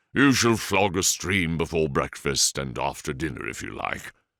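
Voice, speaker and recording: In a put-on character voice, a man uses a very deep, low pitch and lively intonation at a moderate pace, on a very clean recording with a silent background. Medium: read story. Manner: dry, courteous, slightly sly.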